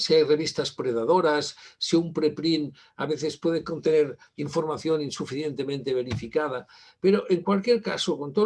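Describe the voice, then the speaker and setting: Moderate pace with ordinary pitch variation. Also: man. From Spain. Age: 60s. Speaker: university library director, keynote speaker. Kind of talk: conference keynote lecture. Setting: virtual conference. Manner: halting, many fillers.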